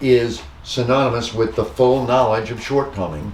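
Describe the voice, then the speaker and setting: A man's medium-pitched, fairly even delivery amid noticeable background noise and audible room echo. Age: 60s. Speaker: pastor. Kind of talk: bible study discussion. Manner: halting.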